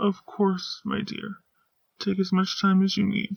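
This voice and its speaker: Using a put-on character voice, the female-sounding speaker talks at a middle pitch and a fairly slow pace. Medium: read story. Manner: calm, gentle, formal.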